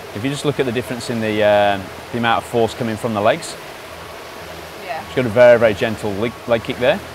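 A man talks very fast at a medium pitch with fairly even intonation, leaving long, frequent pauses. Noticeable background noise is present. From UK. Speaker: swim coach. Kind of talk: video stroke analysis.

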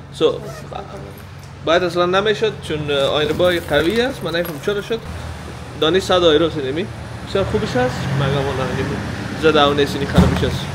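A man talking at a fairly quick pace with ordinary pitch variation over noticeable background noise. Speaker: vlogger. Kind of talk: casual vlog chat. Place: garage. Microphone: phone near.

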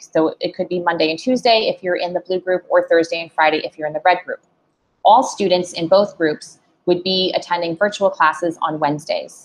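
Fairly even intonation at a fairly quick pace. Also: woman, fairly low pitch for a woman. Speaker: presenter. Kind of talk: informational presentation. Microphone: video call.

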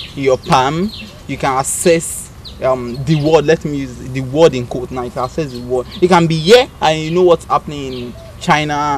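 A man at a moderate pace, loudness swinging widely, ordinary pitch variation, light background noise. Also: dry sound with no echo. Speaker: guest. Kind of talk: interview answer. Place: open country.

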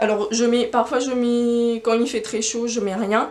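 A woman is speaking. Her pace is very slow. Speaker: knitting podcaster. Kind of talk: casual vlog chat. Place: shop.

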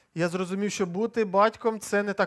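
A man's monotone, flat delivery at a moderate pace, over a quiet background. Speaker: preacher. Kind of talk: sermon. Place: church. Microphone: headset.

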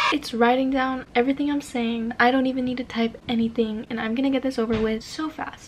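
The talking moves at a moderate pace. Loud background noise is present. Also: woman. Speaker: student vlogger. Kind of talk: casual vlog chat. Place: home room.

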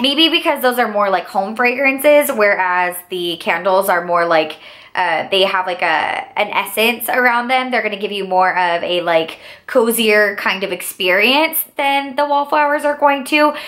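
Bright and sharp in tone, an animated speaker with an American accent makes very wide pitch swings at a moderate pace over a quiet background. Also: woman. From Texas, Houston. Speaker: beauty YouTuber. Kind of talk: product haul review. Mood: enthusiastic, warm. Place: home room.

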